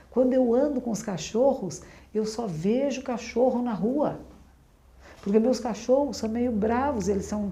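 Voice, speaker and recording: A woman speaks fairly slowly in a fairly high voice with a dark, mellow tone and ordinary pitch variation. Audible room echo surrounds her voice. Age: 60s. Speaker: Zen Buddhist nun. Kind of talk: dharma talk. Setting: room with audience, being filmed.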